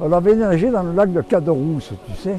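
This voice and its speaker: With music playing in the background, a man talks in a high voice with lively intonation. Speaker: adventurer and poet. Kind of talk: interview answer. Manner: storytelling, casual.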